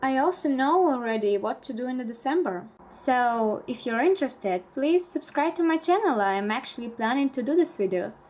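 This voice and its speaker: At a moderate pace, a woman with a high pitch moves through very wide pitch swings. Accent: Russian. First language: Russian. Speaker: bullet journal vlogger. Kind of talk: casual vlog narration.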